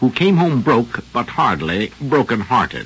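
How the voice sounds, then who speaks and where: A man talks with lively, bouncing intonation. Background noise is clearly audible. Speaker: radio drama host and narrator. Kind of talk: scripted radio narration and host intro. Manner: formal, polished, resonant, rather grand.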